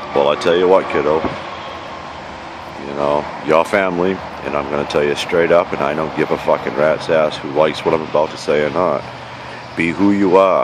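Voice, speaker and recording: In a New York accent, a man speaks at a moderate pace with a very deep, low pitch, his dry sound carrying no echo amid noticeable background noise. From New York, the Bronx. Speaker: vlogger living outdoors. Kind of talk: casual vlog monologue. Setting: outdoors at a campsite. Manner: animated. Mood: angry, passionate rant. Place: forest. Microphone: phone near.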